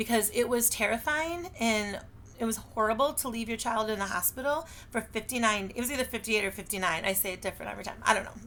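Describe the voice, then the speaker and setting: With an American accent, a woman talks very fast at a fairly high pitch, her tone bright and sharp, her pitch variation ordinary and her loudness swinging widely. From Michigan. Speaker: direct sales consultant and teacher. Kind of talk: casual self-introduction video.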